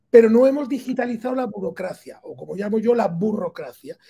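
The man's pitch is extremely high. He speaks fairly quickly, with a dark, mellow tone. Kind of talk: interview answer. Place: office. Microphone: video call.

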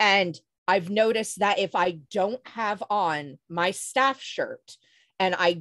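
A woman's voice with ordinary pitch variation, dry sound with no echo, and a quiet background. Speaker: LARP storyteller and game company co-founder. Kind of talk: panel discussion. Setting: video call. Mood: earnest, recounting personal experience. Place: home room. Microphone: video call.

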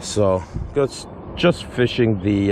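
A man is heard with noticeable background noise and a dry sound with no echo. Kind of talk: casual fishing vlog commentary. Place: waterside. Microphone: phone near.

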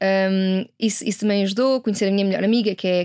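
With monotone, flat intonation, a woman talks at a very fast pace against a quiet background. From Portugal, Carnaxide (Lisbon area); Portugal. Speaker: sustainability entrepreneur and activist; interview guest. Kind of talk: interview. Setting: studio. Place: studio. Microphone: studio mic.

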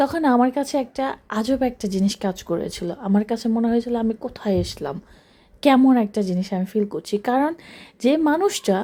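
Recorded very cleanly against a silent background, a woman speaks with a dark, mellow tone, fairly high pitch and lively intonation. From Bangladesh (rural). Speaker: business mentor and coach. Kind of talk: motivational talk to camera.

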